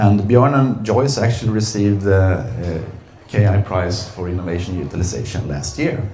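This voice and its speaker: Amid noticeable background noise and audible room echo, a man speaks at a fairly low pitch with ordinary pitch variation. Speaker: company executive. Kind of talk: seminar presentation. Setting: seminar room with audience. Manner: hesitant, many fillers.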